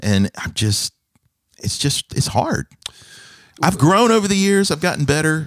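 A man speaks with very wide swings in pitch. He leaves long, frequent pauses. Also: fairly high pitch for a man, fairly slow pace, dry, close sound with no echo. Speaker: pastor and podcast host. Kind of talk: casual interview chat. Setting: studio, office. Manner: warm, laughing.

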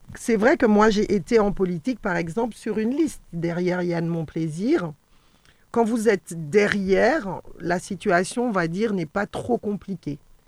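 Using an ordinary speaking voice, a woman with a medium pitch talks at a fairly slow pace with lively intonation. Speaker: local councillor and teacher. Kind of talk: radio panel discussion. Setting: radio studio.

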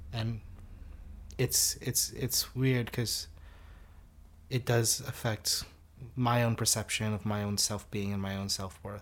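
With long, frequent pauses and a very slow pace, a somewhat breathy man with an American accent speaks at medium pitch with fairly even intonation, in a very clean recording with a silent background. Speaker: university student and organiser. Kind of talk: casual conversation, interview.

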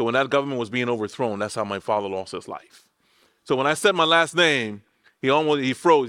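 A man with an American accent talks at a fairly quick pace. His tone is bright and sharp, and his intonation lively. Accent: Liberian accent, changed by living in the US. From Liberia, West Africa. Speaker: pastor. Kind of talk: sermon. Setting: church.

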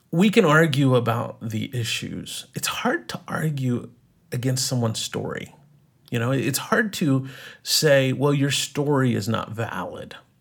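With ordinary pitch variation and a medium pitch, a man talks at a fairly slow pace in a somewhat breathy voice. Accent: American. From East Texas. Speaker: writer and film teacher. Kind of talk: interview conversation.

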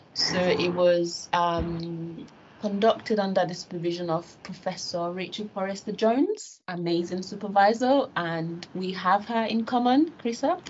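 The voice is somewhat breathy, with ordinary pitch variation. It moves at a fairly slow pace. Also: woman, medium pitch for a woman. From Nigeria. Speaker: academic researcher. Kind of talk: interview conversation.

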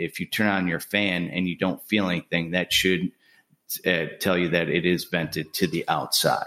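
In a northern US accent, a man talks at a moderate pace with a very deep, low pitch and a monotone, flat intonation, recorded very cleanly over a silent background. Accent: non-Southern, northern US. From Buffalo, New York. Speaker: home builder. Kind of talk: casual interview.

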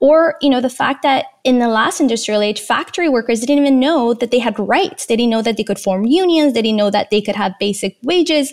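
A woman talks at a fairly quick pace with hardly any pauses and very even loudness. Her high pitch carries lively intonation. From Iran, then Canada as a teen. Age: 30s. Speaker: digital wellness advocate and documentary producer. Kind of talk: interview conversation.

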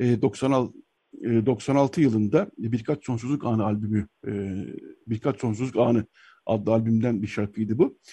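A man talks at a fairly slow pace with a medium pitch and a dark, mellow, somewhat breathy tone. His intonation stays fairly even against a quiet background. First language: Armenian (speaking Turkish). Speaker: radio host. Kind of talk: radio talk show.

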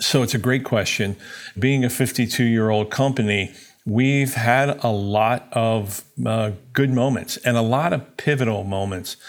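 A man with an American accent and an unremarkable speaking voice, medium in pitch, at a fairly slow pace with fairly even intonation. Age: 60s. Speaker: company president. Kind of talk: business interview.

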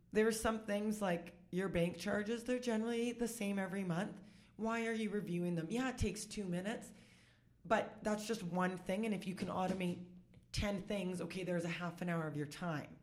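A woman talks at a fairly quick pace in a Canadian accent with fairly even intonation. Audible room echo can be heard. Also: medium pitch for a woman. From Saskatchewan, Canada (Saskatoon). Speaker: bookkeeper and business consultant. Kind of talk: casual interview chat. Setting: in person across a boardroom table.

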